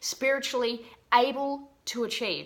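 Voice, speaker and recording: A woman speaks in a high, bright and sharp voice with an Australian accent. Her tone is animated. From Australia, Geelong. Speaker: business mindset coach. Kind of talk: motivational talk to camera.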